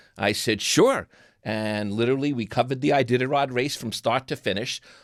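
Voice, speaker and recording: On a very clean recording with a silent background, a man with a New York accent speaks at medium pitch with fairly even intonation. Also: fairly quick pace. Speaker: TV producer and interviewer. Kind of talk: casual chat.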